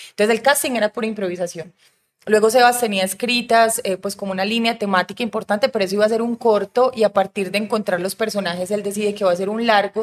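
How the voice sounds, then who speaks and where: Speaking in an unremarkable speaking voice, a woman has medium pitch and fairly even intonation at a fairly quick pace. The sound is dry and close, with no echo. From Colombia, Medellín. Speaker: film director. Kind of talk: casual chat.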